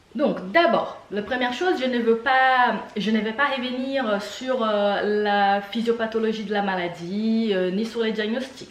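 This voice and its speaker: The delivery is fairly slow. Audible room echo and noticeable background noise come through. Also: woman. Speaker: doctor. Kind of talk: medical tutorial. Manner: hesitant, many filler sounds.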